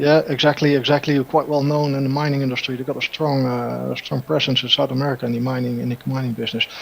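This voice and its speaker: Very fast, monotone speech from a man at medium pitch, flat in intonation with hardly any pauses, against noticeable background noise. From Netherlands. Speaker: energy engineer, panelist. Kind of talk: casual chat. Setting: remote call. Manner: halting.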